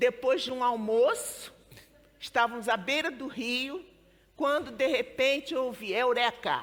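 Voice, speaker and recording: A woman's high voice with a Rio accent, lively in intonation and fairly slow in pace. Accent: Brazilian Portuguese (Rio, carioca). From Brazil, Rio de Janeiro. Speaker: storyteller and book organizer. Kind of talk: book presentation talk. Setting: live event with audience. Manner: casual, conversational.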